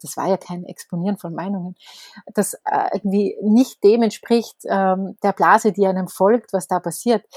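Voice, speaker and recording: A woman with a normal speaking voice talks at a moderate pace and medium pitch, her intonation fairly even but with big swings in loudness. The sound is dry and close, with no echo. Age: 40s. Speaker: newspaper editor and author. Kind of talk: casual interview conversation.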